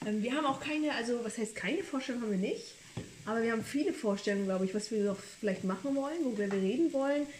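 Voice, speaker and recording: A woman talks very fast at a fairly high pitch, with lively intonation. Background noise is noticeable. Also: very even loudness. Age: 20s. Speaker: podcast host, trained childcare worker. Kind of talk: casual chat while cooking. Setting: home kitchen.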